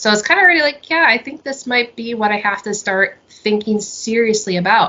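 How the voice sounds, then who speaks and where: At medium pitch, a woman speaks at a fairly quick pace with lively intonation. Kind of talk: interview, personal testimony. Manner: fast; halting, many fillers and restarts.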